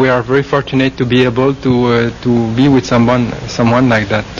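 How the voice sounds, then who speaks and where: A man with a French Canadian accent speaks at a moderate pace and a medium pitch. There is noticeable background noise. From Quebec. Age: 40s. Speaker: Buddhist monk. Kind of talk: interview. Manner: halting.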